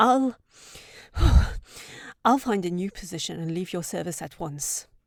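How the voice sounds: A put-on character voice, slow and lively in intonation with vocal fry, in a very clean recording with a silent background and dry, close sound without echo. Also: woman, fairly low pitch for a woman.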